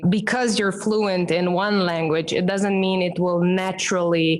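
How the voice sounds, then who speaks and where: This woman talks with a Romanian accent and ordinary pitch variation. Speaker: branding expert and professional speaker. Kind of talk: podcast interview.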